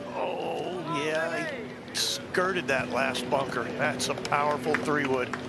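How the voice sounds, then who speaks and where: A man talks very slowly while noticeable background noise is heard. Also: fairly high pitch for a man, ordinary pitch variation. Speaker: golf broadcast analyst. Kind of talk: sports commentary. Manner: analytical, measured broadcast-booth delivery.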